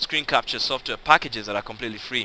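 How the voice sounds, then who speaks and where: With a non-native accent, a man talks at a very fast pace in a bright, sharp tone. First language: not English (English is third language). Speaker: online business tutor. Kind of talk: tutorial. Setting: screen recording. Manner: casual, conversational; halting, self-correcting.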